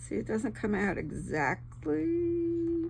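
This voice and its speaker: A woman speaks with a relaxed tone. Audible room echo fills the recording. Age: 70s. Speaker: crafting YouTuber. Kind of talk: casual craft tutorial chat. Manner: chatty, relaxed.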